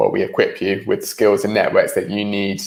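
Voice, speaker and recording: This is a man speaking. He has a British accent. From UK. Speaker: startup organization executive, webinar presenter. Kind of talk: online presentation. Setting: online meeting, livestream. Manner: casual, with frequent filler ums.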